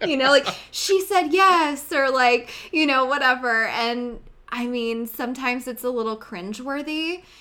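At a moderate pace, a woman with a high pitch projects a raised voice with a bright, sharp tone and ordinary pitch variation. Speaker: podcast host. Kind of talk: casual interview chat.

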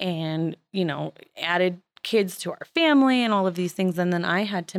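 An ordinary speaking voice from a woman, medium in pitch with ordinary pitch variation, in a dry, close sound with no echo on a very clean recording with a silent background. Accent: American. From southern Arizona, US. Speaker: podcast co-host, instructional designer, former teacher. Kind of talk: casual chat.

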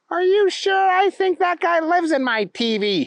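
In a put-on character voice, a female-sounding speaker talks at a moderate pace with an extremely high pitch. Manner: grumpy, suspicious.

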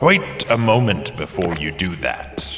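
Amid clear background noise, a man puts on a character voice at a very deep, low pitch and a moderate pace. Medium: actual play. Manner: measured, authoritative.

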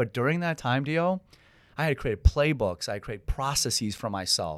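This man has a normal speaking voice and lively intonation. He talks at a fairly quick pace. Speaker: mortgage coach and loan officer. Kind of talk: casual podcast conversation.

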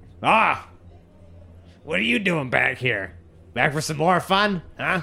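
A man puts on a character voice, pitched fairly high with very wide swings in pitch, at a fairly slow pace. The recording is very clean, with a silent background. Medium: actual play. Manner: gruff, casual.

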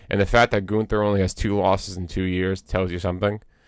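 Very fast, monotone, flat delivery in a dry, close sound with no echo. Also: man. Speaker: podcast co-host. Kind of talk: casual chat. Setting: studio.

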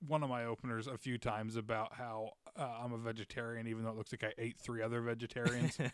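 A man with an unremarkable speaking voice talks at a fairly quick pace at medium pitch. The recording is very clean, with a silent background. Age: 30s. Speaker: podcast host and comedian. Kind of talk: casual chat.

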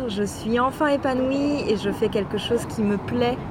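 A woman speaks at a fairly slow pace. Crowd noise fills the background, and the room echo is audible. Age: 30s. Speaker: traveller on working holiday visa. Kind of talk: interview. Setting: café terrace. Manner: casual.

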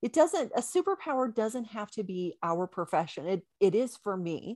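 In an unremarkable speaking voice, a woman talks at a medium pitch and a moderate pace. The sound is dry and close with no echo, in a very clean recording with a silent background. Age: 50s. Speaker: chiropractor and intuitive coach. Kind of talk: casual interview chat.

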